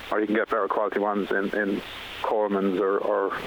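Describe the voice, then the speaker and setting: Noticeable background noise sits under a man speaking with an Irish accent. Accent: Irish, Carlow. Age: 50s. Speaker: firefighter and council admin officer. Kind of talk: radio interview.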